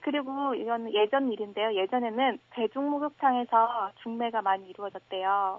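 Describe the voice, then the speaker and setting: A woman talks at a moderate pace in a fairly high pitch with ordinary pitch variation, an unremarkable speaking voice. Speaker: university student. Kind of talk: radio phone interview. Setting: phone call.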